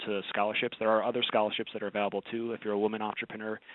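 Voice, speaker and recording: With an American accent, a man talks at a fairly low pitch in a monotone, flat intonation. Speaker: webinar presenter, strategic advisor. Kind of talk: webinar presentation. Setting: online webinar. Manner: fast; many filler words and restarts.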